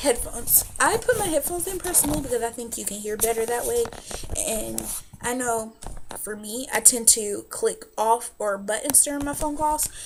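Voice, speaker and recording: A woman with an American accent talks in an animated tone at a moderate pace. Noticeable background noise runs behind her. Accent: southern US, stronger when nervous. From US South. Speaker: vlogger. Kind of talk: casual vlog advice.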